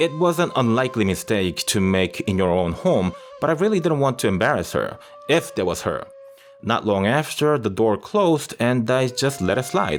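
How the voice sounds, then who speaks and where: A man speaks at a moderate pace and medium pitch, his pitch swinging very widely while his loudness stays very even, with music playing in the background. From Japan, Tokyo. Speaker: storyteller youtuber. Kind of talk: personal storytelling. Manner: casual, unscripted.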